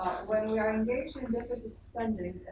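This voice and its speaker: Audible room echo hangs around this woman's voice. She keeps to a moderate pace. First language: not English. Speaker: audience member asking questions. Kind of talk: Q&A question. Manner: halting, many fillers.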